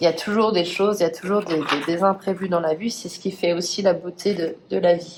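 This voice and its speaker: Against noticeable background noise, a woman talks fairly quickly in a fairly low, monotone, flat voice. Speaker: tarot card reader. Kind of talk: tarot reading. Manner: hesitant.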